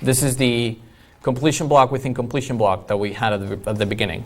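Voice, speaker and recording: A man's medium-pitched voice with a non-native accent, moderate pace and ordinary pitch variation, in a room with audible echo. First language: not English. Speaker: iOS developer, conference speaker. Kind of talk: conference talk.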